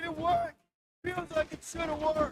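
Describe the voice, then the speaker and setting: High-pitched, moderately paced, and clearly a put-on character voice. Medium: video game. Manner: dry, sardonic.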